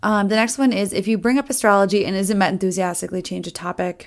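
A woman with an American accent speaks at a fairly quick pace. Her pitch sits in the middle of a woman's range and varies in an ordinary way. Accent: Minnesotan, comes out on certain words. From US Midwest, Minnesota. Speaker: podcast host. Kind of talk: casual solo commentary. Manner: casual, chatty, fast-paced.

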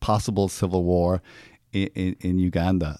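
With an Irish accent, a man with a very deep, low pitch and a dark, mellow tone is heard dry and close with no echo, in a very clean recording with a silent background. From Ireland. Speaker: therapist and actor. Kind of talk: casual chat. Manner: halting.

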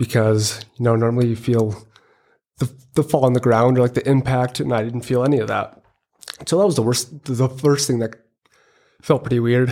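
A man's dark, mellow voice with fairly even intonation and long, frequent pauses. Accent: American. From Minnesota. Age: 20s. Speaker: quadriplegic injury survivor, engineering student. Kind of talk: interview testimony.

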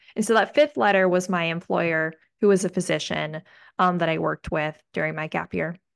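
A woman speaks in an ordinary speaking voice, fairly low in pitch, at a fairly quick pace with fairly even intonation. The sound is dry and close with no echo, over a quiet background. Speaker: podcast host, pre-med student. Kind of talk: casual chat.

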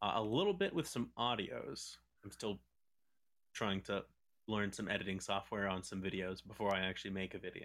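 This man has an unremarkable speaking voice, fairly low in pitch, with ordinary pitch variation and a fairly quick pace. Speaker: voice actor. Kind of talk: casual chat.

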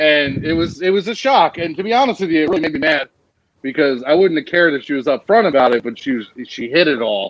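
A man talks at a very fast pace with lively intonation. He has a fairly high pitch and an American accent. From New Jersey. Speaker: listener. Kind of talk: storytelling. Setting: video call.

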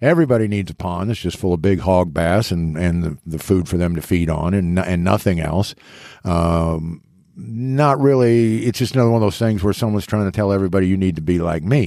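A man speaks fairly quickly with a very deep, low pitch and ordinary pitch variation, his tone dark and mellow. The recording is very clean, with a silent background. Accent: American. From eastern Kansas. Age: 60s. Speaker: fishing podcast co-host, interviewer. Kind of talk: casual interview. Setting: studio.

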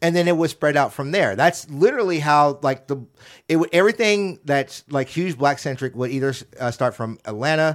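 A man has an unremarkable speaking voice, fairly high in pitch, with ordinary pitch variation at a fairly quick pace on a very clean recording with a silent background. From US South, Alabama (Baldwin County). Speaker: podcast guest, creator. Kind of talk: casual chat.

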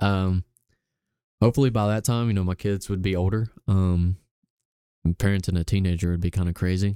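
A man's very deep, low voice with a dark, mellow tone, a fairly quick pace broken by long, frequent pauses, fairly even intonation and an Alabama accent, on a very clean recording with a silent background and a dry, close sound with no echo. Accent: Southern US (Alabama). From US South, Gadsden, Alabama. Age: young. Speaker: barista and photographer. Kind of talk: casual interview.

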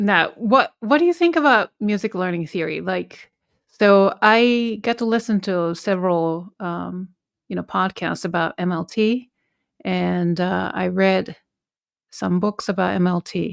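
At a fairly slow pace, a woman speaks with a Japanese accent in a very clean recording with a silent background and a dry, close sound with no echo. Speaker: podcast host and piano teacher. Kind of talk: interview.

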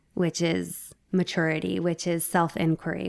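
Over a very clean recording with a silent background, a woman with vocal fry speaks at a fairly slow pace and fairly low pitch, the sound dry and close with no echo. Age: 40s. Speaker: yoga teacher. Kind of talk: casual chat.

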